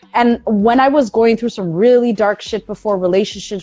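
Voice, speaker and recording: Over noticeable background noise, the voice moves at a moderate pace with an animated tone and ordinary pitch variation. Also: woman. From Toronto, Canada. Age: 30s. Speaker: radio host. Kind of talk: interview. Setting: online live stream. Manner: loud.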